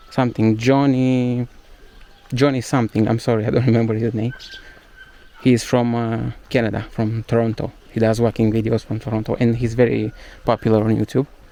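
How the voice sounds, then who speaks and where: Over noticeable background noise, a man with a Romanian accent talks at a fairly quick pace in a monotone, flat delivery at medium pitch, with long, frequent pauses. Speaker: travel vlogger. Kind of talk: casual walking vlog monologue. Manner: halting, many fillers.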